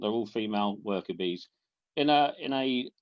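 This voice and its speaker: A man with a Norfolk accent, medium pitch and a fairly quick pace. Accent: Norfolk twang. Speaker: bee inspector. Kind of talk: public talk with slides. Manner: fast; casual, hesitant.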